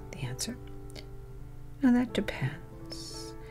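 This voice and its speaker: Whispering and soft-spoken, a woman talks at a very slow pace with music in the background. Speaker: certified hypnotherapist. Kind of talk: ASMR relaxation talk about hypnosis. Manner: whispered, soft, slow.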